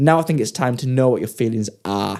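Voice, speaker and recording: A man with an English accent talks at a fairly quick pace, medium in pitch with ordinary pitch variation. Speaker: podcast co-host. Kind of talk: casual chat.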